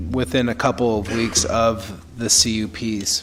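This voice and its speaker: Noticeable background noise sits behind a man with a medium pitch. He talks at a fairly slow pace with fairly even intonation. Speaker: city official. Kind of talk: public meeting presentation. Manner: halting, many fillers.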